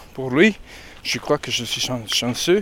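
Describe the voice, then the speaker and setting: Noticeable background noise sits behind this recording. A man talks at a medium pitch. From Mexico. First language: Spanish (speaking French). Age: 40s. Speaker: pilgrim. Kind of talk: interview. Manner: halting.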